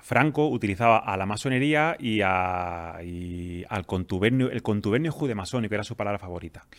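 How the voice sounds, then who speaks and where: In a plain, everyday voice, a man talks at a fairly quick pace with a fairly low pitch, lively intonation and hardly any pauses. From Andalusia, Spain (Jaén). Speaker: pharmacist and freemason. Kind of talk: interview answers, explanatory.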